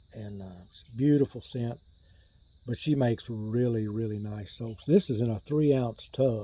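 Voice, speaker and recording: In an American accent, the speaker talks at a moderate pace in a dark, mellow, relaxed tone, with big swings in loudness and ordinary pitch variation. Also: man. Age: 60s. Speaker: shaving gear YouTuber. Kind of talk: casual chat. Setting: outdoors on a porch.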